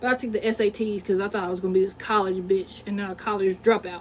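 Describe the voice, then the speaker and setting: In a Southern US accent, a woman speaks in an animated tone. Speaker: livestreamer and poet. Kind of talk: casual livestream monologue.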